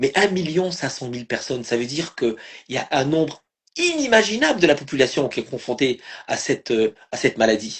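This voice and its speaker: A man talks at a fairly quick pace in a fairly high pitch, his voice somewhat breathy and his intonation lively. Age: 60s. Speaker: live stream host and family caregiver. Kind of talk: live stream conversation. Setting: online live video stream. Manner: halting, many repetitions and fillers.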